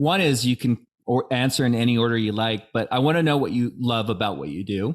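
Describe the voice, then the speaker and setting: A man with an American accent talks at a fairly quick pace at a medium pitch with ordinary pitch variation. It is a plain, everyday voice on a very clean recording with a silent background. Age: 50s. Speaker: podcast host. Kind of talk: interview podcast.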